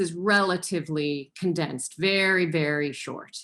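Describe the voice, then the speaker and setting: A woman with an American accent talks in an ordinary speaking voice, fairly low in pitch, with fairly even intonation. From Illinois, US. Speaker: professor of landscape preservation. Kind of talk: online presentation.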